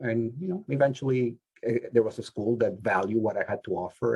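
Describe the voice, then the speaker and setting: Somewhat breathy and dark, mellow in tone, a man's medium-pitched voice moves at a moderate pace with lively intonation. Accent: non-native. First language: not English. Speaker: social work professor. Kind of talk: panel discussion. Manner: halting.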